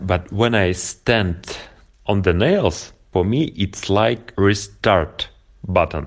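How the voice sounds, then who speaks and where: On a very clean recording with a silent background, a man speaks at a very slow pace and a fairly low pitch. His pitch varies in an ordinary way, and his loudness stays very even. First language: Russian (speaking German). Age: 30s. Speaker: nail-board practice entrepreneur. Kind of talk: interview. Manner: halting.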